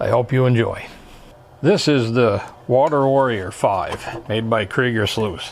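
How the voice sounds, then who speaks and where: With an ordinary speaking voice at medium pitch, a man talks at a fairly slow pace. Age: 60s. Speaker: hobbyist YouTuber learning CAD. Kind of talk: casual tutorial vlog. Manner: casual, conversational with fillers.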